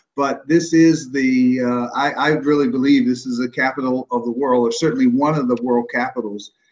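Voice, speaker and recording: With an American accent, the speaker keeps a moderate pace and fairly even intonation, with hardly any pauses. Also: man, medium pitch for a man. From Washington DC. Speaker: pastor and mayoral candidate. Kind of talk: interview. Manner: halting, repeats words.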